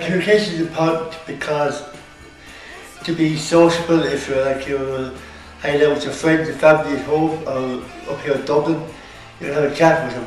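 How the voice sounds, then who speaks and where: Talking at a fairly quick pace, a man uses a fairly high pitch and takes long, frequent pauses. Faint music plays behind him, and room echo is audible. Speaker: student. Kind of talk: interview answer. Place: classroom. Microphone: camera far.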